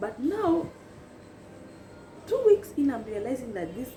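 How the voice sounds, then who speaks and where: Woman with an animated tone and very wide pitch swings, music in the background. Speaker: YouTuber. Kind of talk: storytelling chat.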